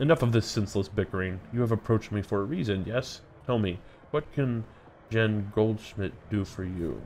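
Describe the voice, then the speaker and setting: A booming, put-on character voice moves at a moderate pace with ordinary pitch variation. Clear background noise is present. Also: man, fairly low pitch for a man. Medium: game stream. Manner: hearty, jovial.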